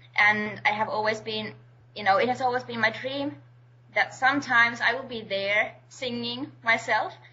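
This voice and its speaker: A woman's lively intonation comes through at a moderate pace despite noticeable background noise. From Finland. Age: 20s. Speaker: singer-songwriter. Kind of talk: interview.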